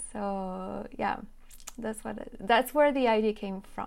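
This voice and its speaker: A woman speaks with a French accent at a fairly high pitch. Her intonation is fairly even. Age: 20s. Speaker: YouTube French teacher. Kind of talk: interview.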